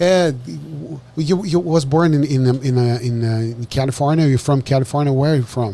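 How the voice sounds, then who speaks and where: This man has a Brazilian accent and a medium pitch with ordinary pitch variation. He talks at a moderate pace with hardly any pauses. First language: Portuguese. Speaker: podcast host. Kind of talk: casual interview. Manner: halting.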